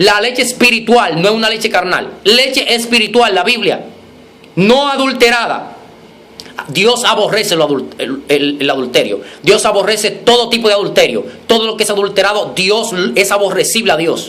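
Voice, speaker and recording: Over noticeable background noise and audible room echo, a man with a high pitch talks in a raised, projected voice, animated in tone with ordinary pitch variation. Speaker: preacher. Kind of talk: sermon. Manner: fast.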